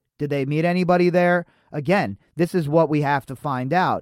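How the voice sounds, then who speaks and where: A man with an American accent talks in a plain, everyday voice at a fairly high pitch. The recording is very clean with a silent background and a dry, close sound with no echo. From Las Vegas, US. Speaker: podcast host. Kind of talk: casual commentary reading news articles.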